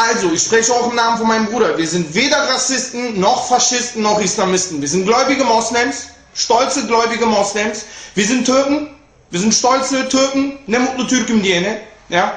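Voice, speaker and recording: With an animated tone and ordinary pitch variation, the speaker keeps a moderate pace amid audible room echo. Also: man. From Germany, Cologne; Germany. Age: 20s. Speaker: rapper. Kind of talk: video statement; direct-to-camera statement. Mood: defensive, indignant. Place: home room. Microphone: webcam.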